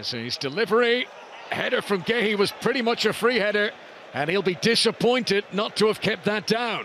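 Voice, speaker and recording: Against noticeable background noise, a high-pitched man sounds animated and excited. He keeps a moderate pace with ordinary pitch variation. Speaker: football commentator. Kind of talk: live football match commentary over highlights. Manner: animated, rising to excited shouts on chances.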